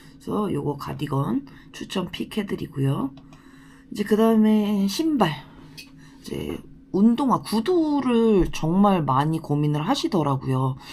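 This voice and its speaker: Speaking at a very slow pace with long, frequent pauses, a woman uses a medium pitch, a dark, mellow tone and very wide pitch swings, and sounds somewhat breathy. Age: 30s. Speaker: designated driver and translator. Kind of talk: casual talk to camera.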